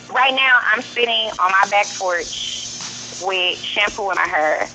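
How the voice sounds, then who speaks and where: Over music in the background, a woman with a St. Louis accent speaks at a fairly slow pace, her medium pitch showing ordinary variation. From US Midwest, St. Louis. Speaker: rapper. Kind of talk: radio interview. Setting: phone call; outdoors on back porch.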